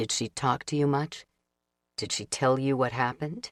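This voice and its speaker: In a put-on character voice, the speaker sounds strained, with a low-to-middle pitch and a moderate pace. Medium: read story.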